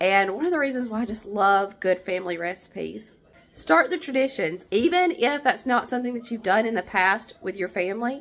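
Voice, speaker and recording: Speaking at a fairly quick pace, a woman uses a fairly high, warm voice with very wide pitch swings. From southern Appalachia. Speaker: home cook. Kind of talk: cooking tutorial talk to camera. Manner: warm, friendly. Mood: warm, nostalgic. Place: kitchen. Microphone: phone near.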